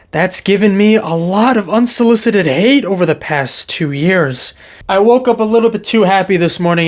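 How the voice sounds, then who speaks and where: A high-pitched man with an American accent talks at a fairly quick pace with lively intonation. There is noticeable background noise. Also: hardly any pauses, very even loudness. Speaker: football youtuber. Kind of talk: reacting to comments, casual. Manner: animated.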